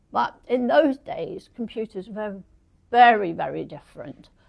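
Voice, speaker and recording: A woman speaks with an English accent. Her pace is fairly slow. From England. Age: 80s+. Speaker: retired computer professional. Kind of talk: talk.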